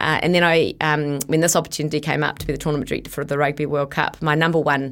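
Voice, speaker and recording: In a very clean recording with a silent background, a woman with a New Zealand accent speaks at a very deep, low pitch. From New Zealand (Bombay Hills, south of Auckland). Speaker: sports event director. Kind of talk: interview. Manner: animated.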